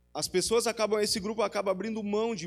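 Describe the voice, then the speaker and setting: A man at a fairly quick pace. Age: 40s. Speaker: preacher. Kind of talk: sermon.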